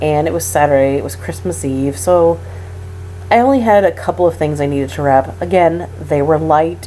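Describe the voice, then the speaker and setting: Over noticeable background noise, a woman with a very deep, low pitch talks at a moderate pace with very wide pitch swings. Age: 30s. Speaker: patient recovering from hysterectomy. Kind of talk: casual talk to camera.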